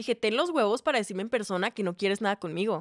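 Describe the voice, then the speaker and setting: Against a quiet background, a woman with a fairly high pitch speaks in an animated tone with lively intonation, the sound dry with no echo. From Mexico, Ciudad Juárez; Mexico. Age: 20s. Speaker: singer-songwriter and content creator; content creator. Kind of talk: casual chat. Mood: animated gossip storytelling. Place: studio. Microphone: studio mic.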